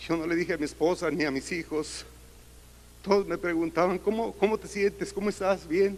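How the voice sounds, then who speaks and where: This man has a high pitch and fairly even intonation, and he talks at a moderate pace. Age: 60s. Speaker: church member giving testimony. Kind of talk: testimony.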